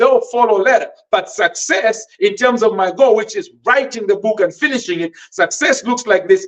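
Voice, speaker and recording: A man with a Malawian accent speaks at an extremely high pitch with lively intonation. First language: Tumbuka. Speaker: podcast host and author. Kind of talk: motivational teaching podcast. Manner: hesitant, with fillers and repetitions.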